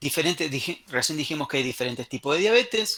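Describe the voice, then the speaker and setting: A man speaks with lively intonation. His tone is bright and sharp. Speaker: medical lecturer. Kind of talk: online lecture. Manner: fast.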